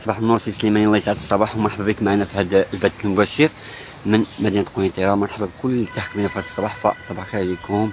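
Over music in the background, a man talks very fast at a fairly low pitch in a monotone, flat intonation, the sound dry with no echo. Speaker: live stream reporter. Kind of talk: live stream commentary greeting viewers. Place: street. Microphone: phone near.

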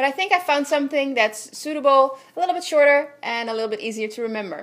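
Her Dutch accent clear, a woman talks at a fairly quick pace with ordinary pitch variation. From Netherlands. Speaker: visual artist. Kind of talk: video blog. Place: home room.

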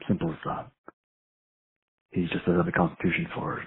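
A man growls at a fairly quick pace in a low pitch, his gravelly voice showing a husky, rough edge, vocal fry and little pitch movement.

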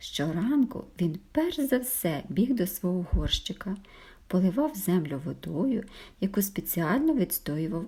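The clip features an unforced reading voice.

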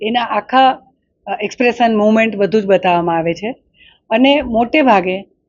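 A woman has a plain, everyday voice with a fairly high pitch and ordinary pitch variation. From south Gujarat, India (Killa Pardi). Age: 50s. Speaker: painter and sculptor. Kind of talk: interview. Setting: art exhibition hall.

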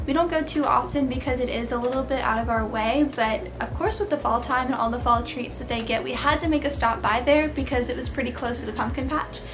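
Very fast speech with hardly any pauses, over faint music in the background. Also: woman. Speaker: lifestyle vlogger. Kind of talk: casual vlog chat. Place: home room.

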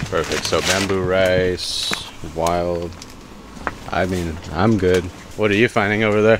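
Over noticeable background noise, a man with a very deep, low pitch speaks at a fairly slow pace with fairly even intonation, the sound dry with no echo. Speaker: cooking vlogger. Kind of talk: casual vlog chat. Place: shop. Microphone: phone near.

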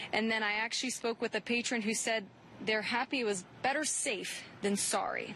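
A woman speaks at a fairly quick pace with a fairly high pitch and ordinary pitch variation. Her tone is bright and sharp, and her loudness stays very even. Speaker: field reporter. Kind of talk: live news report. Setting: outdoors on location. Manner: brisk, clear, professional.

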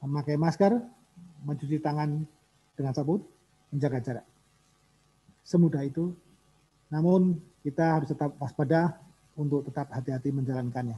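Fairly high in pitch, a man's dark, mellow, somewhat breathy voice moves at a fairly quick pace with ordinary pitch variation and long, frequent pauses. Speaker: government official. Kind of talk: formal speech. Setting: video call. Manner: formal. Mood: calm, formal, sympathetic. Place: meeting room. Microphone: podium.

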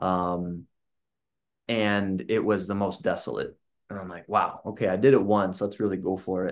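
A man's fairly low voice at a moderate pace, fairly even in intonation, with big swings in loudness. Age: 30s. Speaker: illustrator. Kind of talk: casual chat. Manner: talkative. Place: home room.

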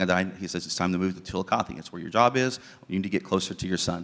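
With an American accent, a man speaks in a very deep, low pitch. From southern Ohio, US. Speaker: ministry leader; guest. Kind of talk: testimony. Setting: church. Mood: earnest, reflective. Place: church. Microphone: handheld.

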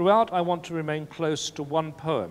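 With ordinary pitch variation, a man speaks at a very slow pace. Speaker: literary scholar. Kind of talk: academic lecture. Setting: conference with audience. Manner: formal. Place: meeting room.

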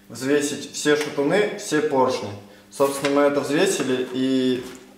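A man speaking very slowly amid light background noise and audible room echo. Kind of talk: casual tutorial vlog. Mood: relaxed, laughing. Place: garage. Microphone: camera far.

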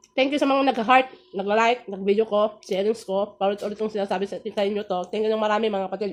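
Pitched fairly high, a woman races along at a very fast pace with hardly any pauses and fairly even intonation. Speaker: food vlogger. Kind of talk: mukbang vlog talk. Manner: halting.

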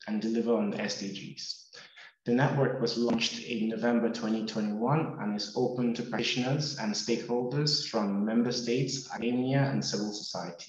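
Ordinary pitch variation at a moderate pace, with audible room echo. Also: man. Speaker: webinar host. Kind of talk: formal webinar introduction. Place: office. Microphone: video call.

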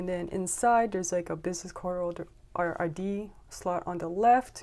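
Fairly even intonation from a woman. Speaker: stationery vlogger. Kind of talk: casual show-and-tell vlog. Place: home room. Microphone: phone near.

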